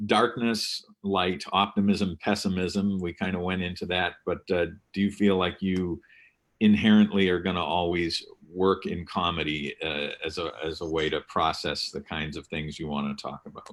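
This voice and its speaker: A man with an American accent speaks at a moderate pace in a very deep, low voice with fairly even intonation. The recording is very clean, with a silent background. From Massachusetts, northwest of Boston. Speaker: festival chat moderator. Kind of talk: panel discussion. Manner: halting, many fillers.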